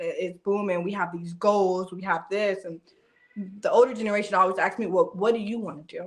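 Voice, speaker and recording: This woman has an ordinary speaking voice, pitched medium, with fairly even intonation. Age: 30s. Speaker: podcast co-host. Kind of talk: casual chat.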